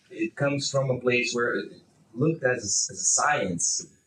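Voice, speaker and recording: This man speaks with a Brazilian accent. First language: Portuguese. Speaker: bioethics researcher, panelist. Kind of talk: panel discussion. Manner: halting, many fillers and repetitions.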